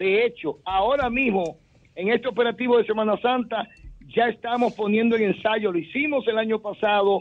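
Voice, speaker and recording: A man with a Dominican accent, high pitch, ordinary pitch variation, moderate pace and very even loudness. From Dominican Republic. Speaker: municipal risk management official. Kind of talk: interview. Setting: phone call. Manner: formal. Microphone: phone line.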